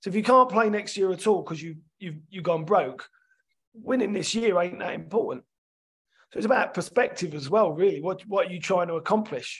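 With a London accent, a man talks at a fairly quick pace in a high pitch, with ordinary pitch variation and big swings in loudness. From London, England. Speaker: sports development scientist and rugby coach. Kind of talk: podcast interview.

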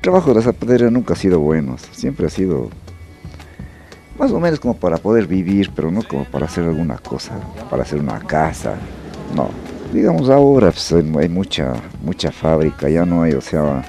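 A man talks at a fairly quick pace with very deep, low pitch. Clear music plays behind him, and the sound is dry with no echo. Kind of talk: interview answer. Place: workshop. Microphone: handheld.

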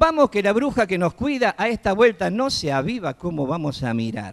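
Against a quiet background, a man with a Córdoba Argentine accent talks at a moderate pace with very wide pitch swings. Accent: Cordoban Argentine Spanish. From Córdoba, Argentina. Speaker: children's entertainer and clown. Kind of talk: TEDx talk on stage. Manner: casual, humorous. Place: stage. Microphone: handheld.

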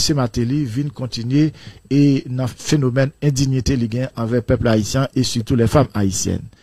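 A man speaks at a moderate pace, his medium-pitched voice somewhat breathy with a dark, mellow tone and fairly even intonation. The sound is dry with no echo, and the background is quiet. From Haiti. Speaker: philosophy teacher. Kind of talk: radio debate. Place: studio. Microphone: studio mic.

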